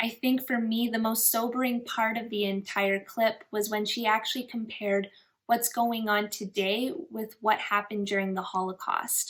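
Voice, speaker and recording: With a normal speaking voice, a woman talks at a moderate pace, her pitch fairly high and her intonation fairly even. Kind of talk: casual commentary to camera.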